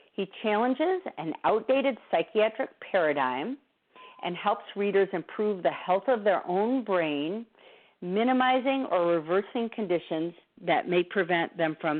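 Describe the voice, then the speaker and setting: Using a plain, everyday voice, a woman speaks at a medium pitch and moderate pace with lively intonation. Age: 60s. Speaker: therapist and nutrition speaker. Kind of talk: lecture.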